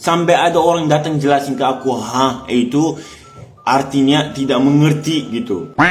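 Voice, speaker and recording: A man's fairly high, animated voice with an Arabic accent, plus audible room echo and noticeable background noise. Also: moderate pace. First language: Arabic (speaking Indonesian). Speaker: foreign resident speaking about learning Indonesian. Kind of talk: casual vlog monologue.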